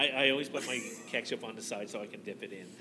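Noticeable background noise runs under a man's voice. He speaks at a fairly quick pace with ordinary pitch variation. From Nova Scotia, Canada. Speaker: podcast host. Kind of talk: casual interview chat. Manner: enthusiastic.

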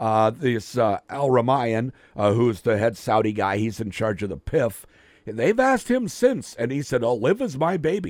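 A man with an unremarkable speaking voice, medium pitch, lively intonation and a moderate pace, on a very clean recording with a silent background. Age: 50s. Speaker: radio sports host. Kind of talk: casual chat. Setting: studio.

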